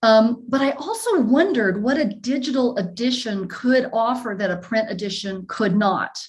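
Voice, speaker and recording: A woman with a slight Southern US accent speaks at a fairly high pitch with hardly any pauses. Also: ordinary pitch variation. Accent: slight Southern drawl. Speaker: professor. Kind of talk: lecture Q&A. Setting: video call. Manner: halting.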